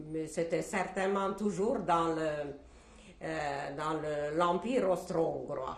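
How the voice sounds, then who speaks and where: A woman with a Hungarian accent speaks very slowly in a fairly low voice with ordinary pitch variation. There is noticeable background noise and audible room echo. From Czechoslovakia, Hungarian-speaking family (southern Slovakia). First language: Hungarian (speaking French). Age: 70s. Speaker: Holocaust survivor. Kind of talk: testimony interview. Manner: hesitant, with frequent fillers.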